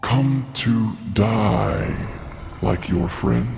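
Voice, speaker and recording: A put-on character voice from a man, with clear background noise behind it. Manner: menacing, arrogant.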